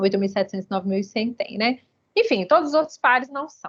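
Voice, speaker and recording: The sound is dry and close, without echo. A woman talks in a high pitch. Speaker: university statistics lecturer. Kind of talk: lecture. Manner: fast; energetic.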